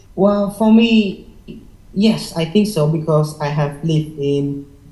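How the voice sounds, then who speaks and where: The speaker talks at a very slow pace with a Vietnamese accent. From Vietnam, Hanoi. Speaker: IELTS test taker. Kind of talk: interview. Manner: halting, many fillers.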